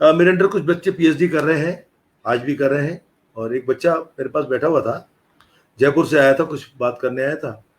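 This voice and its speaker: Moving at a moderate pace, an unremarkable speaking voice shows ordinary pitch variation. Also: man, fairly high pitch for a man. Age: 60s. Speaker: retired professor and music scholar. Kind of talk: interview conversation. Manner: explanatory, conversational.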